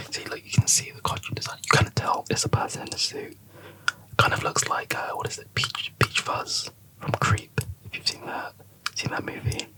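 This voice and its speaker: A man whispers with big swings in loudness over noticeable background noise. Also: moderate pace. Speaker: ASMR YouTuber, Blu-ray collector. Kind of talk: ASMR ramble, casual movie chat to camera. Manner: soft-spoken, whispered.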